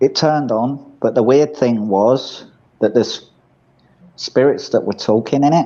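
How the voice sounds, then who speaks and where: Dark and mellow in tone, the voice has an English accent, ordinary pitch variation and long, frequent pauses. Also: man, medium pitch for a man, fairly slow pace. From England. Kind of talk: casual chat.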